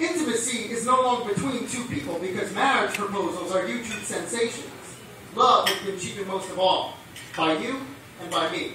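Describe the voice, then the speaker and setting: A man's raised, projected voice, high in pitch and lively in intonation, at a moderate pace against noticeable background noise. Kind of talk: slam poetry performance. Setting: live venue.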